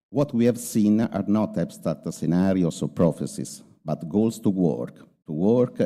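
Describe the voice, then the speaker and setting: A man's very deep, low voice with a dark, mellow tone, lively intonation and an Italian accent. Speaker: university rector. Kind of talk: formal speech. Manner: halting, many hesitations.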